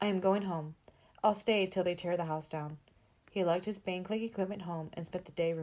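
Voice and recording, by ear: A natural voice reads the words aloud.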